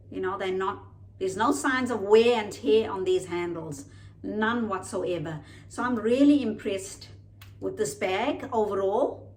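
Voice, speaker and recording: Audible room echo surrounds a woman speaking at a fairly slow pace. Her medium-pitched voice has lively intonation. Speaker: lifestyle vlogger. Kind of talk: unboxing video, casual product review. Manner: slow, deliberate.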